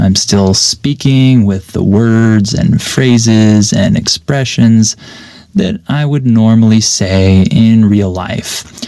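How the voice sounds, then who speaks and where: Over noticeable background noise, a man talks very slowly at a medium pitch with ordinary pitch variation. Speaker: English teacher podcaster. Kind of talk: unscripted podcast monologue. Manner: clear.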